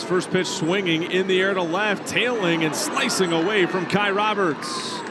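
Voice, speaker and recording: Over noticeable background noise, a man with a high-pitched voice projects loudly, barely pausing at all. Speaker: sports play-by-play broadcaster. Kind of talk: baseball TV play-by-play call.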